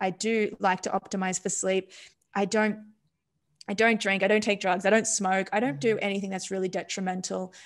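A woman with an Australian accent talks at a fairly quick pace in a monotone, flat intonation over a quiet background. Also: medium pitch for a woman. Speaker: neuroscientist; podcast guest. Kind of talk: casual interview. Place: home room. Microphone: studio mic.

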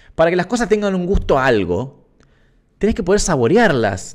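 A man in a Rioplatense accent, high-pitched with very wide pitch swings, at a moderate pace against a quiet background. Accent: Argentine Rioplatense Spanish. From Argentina. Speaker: musician and streamer hosting a live stream; streamer hosting a live stream. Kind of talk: casual live stream chat with viewers. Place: home room. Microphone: studio mic.

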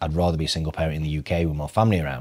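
A man speaks with a Yorkshire accent in a very deep, low voice. The background is quiet. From northern England. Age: 30s. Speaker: financial advisor; podcast guest. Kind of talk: casual chat. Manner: animated. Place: studio. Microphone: lapel.

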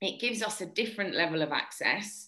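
Her tone is bright and sharp, with lively intonation, as a woman speaks at a moderate pace. The background is quiet. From Brazil. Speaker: sports presenter and reporter; presenter, reporter. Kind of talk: panel discussion. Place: kitchen. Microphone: webcam.

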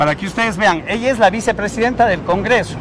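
A man with a high voice talks at a fairly quick pace with ordinary pitch variation, the sound dry with no echo but with noticeable background noise. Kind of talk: heated confrontation, then commentary to camera. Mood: indignant, confrontational. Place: street. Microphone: phone near.

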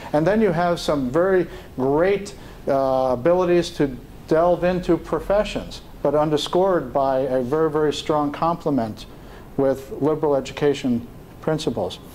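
This man talks with an American accent in a fairly high voice. His pace is moderate, with ordinary pitch variation and very even loudness. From New York City. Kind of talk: leadership talk. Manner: halting.

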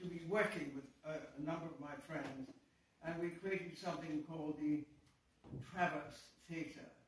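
Audible room echo and light background noise surround a man's voice. He keeps a moderate pace with fairly even intonation. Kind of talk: speech to audience, personal reminiscence. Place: hall. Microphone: camera far.

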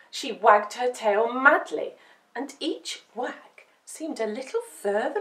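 It is an unforced reading voice. The intonation is lively.

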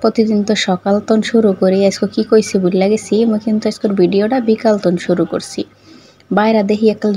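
A woman's fairly high voice carries fairly even intonation. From Madaripur, Bangladesh. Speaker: vlogger. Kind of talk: cooking vlog.

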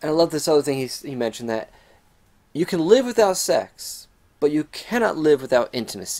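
Over a quiet background, a man talks at a fairly quick pace with very wide pitch swings. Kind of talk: casual vlog chat. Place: home room. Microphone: webcam.

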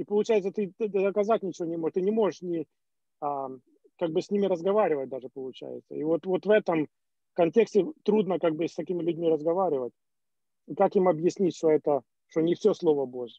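A man with a high pitch speaks at a fairly quick pace, with ordinary pitch variation and long, frequent pauses. The sound is dry with no echo over a quiet background. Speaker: church member. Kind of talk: question to pastor. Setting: video call. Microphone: video call.

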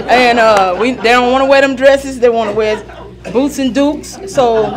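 Over music in the background, a woman talks fairly quickly in a high voice with fairly even intonation. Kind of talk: meeting greeting remarks. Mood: warm, humorous. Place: meeting room.

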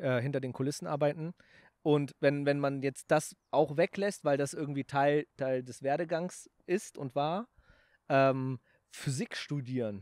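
A man talks at a fairly slow pace with a fairly high pitch and ordinary pitch variation, in a dry sound with no echo and a quiet background. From Germany, Aachen; Germany. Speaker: YouTuber and snack entrepreneur; YouTuber. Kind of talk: casual chat. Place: garden. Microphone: handheld.

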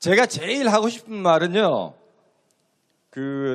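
The speech moves at a very slow pace, with lively intonation. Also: man. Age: 50s. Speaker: citizen speaker at political rally. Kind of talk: public speech at rally.

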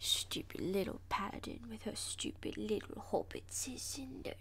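A female-sounding voice performs a put-on character voice at a moderate pace. Clear background noise is present. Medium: dub. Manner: angry, slurred.

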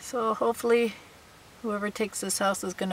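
A woman speaks at a moderate pace with fairly even intonation. The recording is dry with no echo. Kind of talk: casual vlog chat. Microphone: phone near.

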